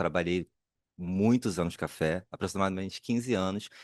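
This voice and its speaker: A man speaks with a very deep, low pitch against a quiet background. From Brazil, Rio de Janeiro (Duque de Caxias, Baixada Fluminense). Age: 40s. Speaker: cultural producer, panelist. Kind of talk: panel discussion self-introduction. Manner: halting.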